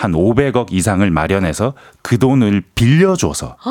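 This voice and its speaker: Speaking at a fairly slow pace, a man uses a fairly low pitch with very wide pitch swings. The sound is dry and close, with no echo. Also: very clean recording, silent background. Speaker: news reporter. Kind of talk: news briefing chat. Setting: radio studio.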